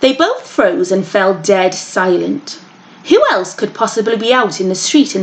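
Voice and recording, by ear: Someone reads aloud here in a natural voice.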